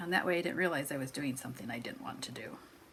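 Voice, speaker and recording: A woman in an American accent, with noticeable background noise. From US Midwest. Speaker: crafting vlogger. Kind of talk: casual chat.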